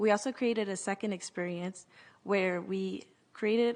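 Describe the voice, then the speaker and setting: A woman speaks at a medium pitch with an American accent. Her intonation is fairly even. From South Central Los Angeles, US. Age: 20s. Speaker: nonprofit youth leader. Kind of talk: conference presentation.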